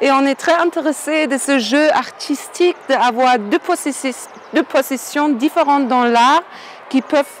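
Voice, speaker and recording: In a German accent, a woman talks very slowly at a high pitch, with ordinary pitch variation and very even loudness. Noticeable background noise runs underneath. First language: German (speaking French). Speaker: painter. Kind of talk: interview. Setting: outdoors. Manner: halting.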